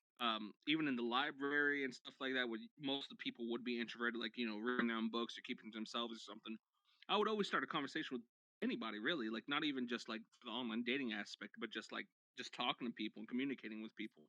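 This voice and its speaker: Speaking very fast, a man keeps his intonation fairly even. His pitch is medium. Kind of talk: casual chat. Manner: loud.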